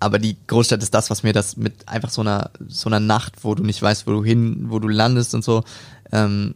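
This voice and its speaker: Here is an ordinary speaking voice of a man, fairly low in pitch. He moves at a fairly quick pace with fairly even intonation. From Hamburg, northern Germany. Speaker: rapper. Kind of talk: casual interview.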